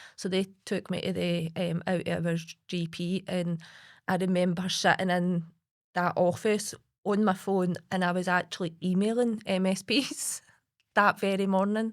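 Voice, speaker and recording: A woman speaks at a fairly slow pace in a Lanarkshire accent, her medium-pitched voice carrying fairly even intonation over a very clean recording with a silent background. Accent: Scottish (Lanarkshire). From Lanarkshire, Scotland. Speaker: suicide-bereaved partner and campaigner. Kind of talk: podcast interview answer.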